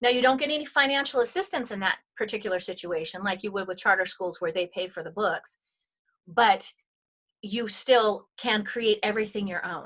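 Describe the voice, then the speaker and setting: At a moderate pace, a woman with a normal speaking voice and a fairly high pitch talks with big swings in loudness. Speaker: homeschooling educator and brain science speaker. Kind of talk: webinar presentation. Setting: webinar call.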